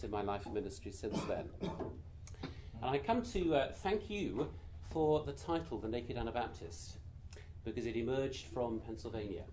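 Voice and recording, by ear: Quiet and at a moderate pace, the speaker has a British accent and lively intonation. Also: man.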